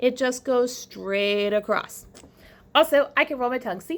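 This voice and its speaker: With a Southern US accent, a woman speaks at a fairly slow pace in a high pitch with ordinary pitch variation, on a very clean recording with a silent background. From US South. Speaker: teacher. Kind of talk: recorded classroom lesson. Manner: casual, chatty.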